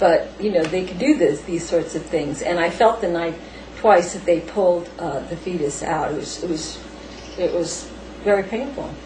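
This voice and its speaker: A woman's fairly low voice at a moderate pace, ordinary pitch variation, audible room echo and noticeable background noise. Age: 50s. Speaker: paranormal experiencer. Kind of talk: interview. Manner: halting.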